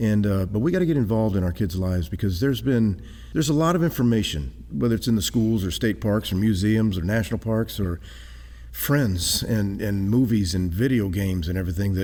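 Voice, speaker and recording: A man with a Texan accent speaks at a fairly quick pace in a fairly low pitch, with a dark, mellow tone and lively intonation. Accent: Texan American. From South Texas, San Antonio. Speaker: traveling creationist speaker. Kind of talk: interview. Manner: very fast; animated.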